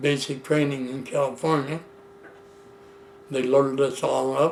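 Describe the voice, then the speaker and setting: A man with an American accent speaks at a fairly slow pace in a fairly high pitch, with audible room echo and noticeable background noise. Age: 80s+. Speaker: elderly man telling life story. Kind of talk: oral history interview. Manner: halting.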